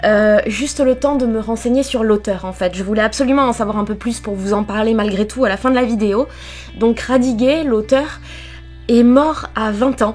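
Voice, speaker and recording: A woman at a moderate pace, fairly even in intonation, with music in the background. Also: fairly high pitch for a woman. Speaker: book vlogger. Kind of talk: live reading vlog commentary. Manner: casual, hesitant with fillers.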